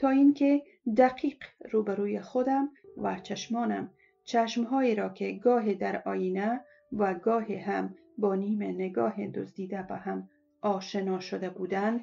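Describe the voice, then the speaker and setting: A woman has a normal speaking voice at a medium pitch. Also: ordinary pitch variation, fairly slow pace. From Afghanistan. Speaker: former TV and radio presenter. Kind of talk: first-person story reading.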